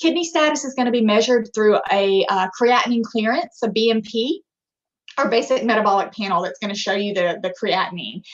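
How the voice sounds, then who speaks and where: Using a normal speaking voice, a woman with an American accent talks at a fairly quick pace and a fairly high pitch. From US South, rural Alabama. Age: 20s. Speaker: physician assistant. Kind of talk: lecture.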